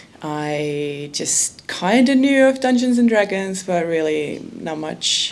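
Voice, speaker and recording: A woman's fairly low voice at a very slow pace with lively intonation, over noticeable background noise. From Estonia. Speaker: documentary filmmaker. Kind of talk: audience Q&A. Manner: hesitant.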